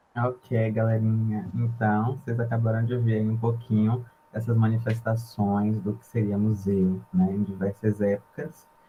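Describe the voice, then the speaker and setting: Quiet, with a medium pitch, a man speaks with hardly any pauses as music plays in the background. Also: fairly even intonation, fairly slow pace. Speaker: university student presenter. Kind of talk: informal presentation to freshmen. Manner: quiet at first.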